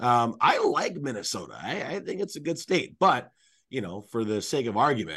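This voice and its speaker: With vocal fry and a bright, sharp tone, a man speaks at a moderate pace and medium pitch, his pitch swinging very widely. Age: 30s. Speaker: hockey play-by-play radio announcer. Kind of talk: casual chat.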